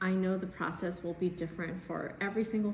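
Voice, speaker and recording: There is noticeable background noise and audible room echo. A woman speaks at a medium pitch. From US, immigrated from China at about six. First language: Chinese. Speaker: baker and cookbook author. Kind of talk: casual vlog talk to camera.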